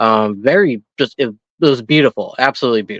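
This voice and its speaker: A man with an American accent and an ordinary speaking voice at a fairly quick pace. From Minnesota. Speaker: paranormal investigator. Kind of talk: casual interview.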